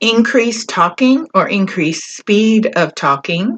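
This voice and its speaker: Speaking very slowly, a woman delivers her words. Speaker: mental health video creator. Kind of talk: educational talk. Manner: moderate pace.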